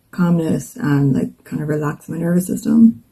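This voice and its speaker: A woman with an Irish accent at a fairly slow pace. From Ireland. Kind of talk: casual talk to camera.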